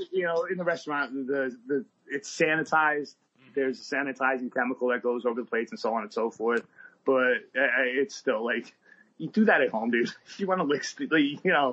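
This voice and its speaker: A fairly high male voice, a normal speaking voice with lively intonation. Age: 40s. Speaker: bartender. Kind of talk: casual chat. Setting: remote recording.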